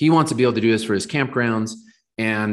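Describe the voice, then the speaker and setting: A man's medium-pitched voice, an ordinary speaking voice with ordinary pitch variation, captured on a very clean recording against a silent background. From Southern California. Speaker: startup founder and CEO. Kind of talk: interview. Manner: frequent filler ums.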